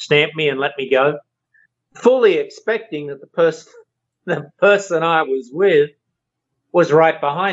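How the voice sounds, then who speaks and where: With an Australian accent, a man talks at a moderate pace in a fairly high pitch, using ordinary pitch variation and long, frequent pauses. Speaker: co-host, parent. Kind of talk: casual chat.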